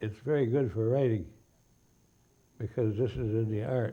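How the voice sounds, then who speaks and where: A man with an American accent speaks at a moderate pace, his fairly low, dark, mellow voice somewhat breathy. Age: 80s+. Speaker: author and illustrator. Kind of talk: interview answer.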